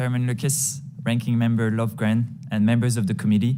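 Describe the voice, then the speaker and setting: A man with a French accent speaks at a fairly quick pace, with medium pitch and ordinary pitch variation. Noticeable background noise and audible room echo are present. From France. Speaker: tech company CEO. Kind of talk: congressional testimony. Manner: formal.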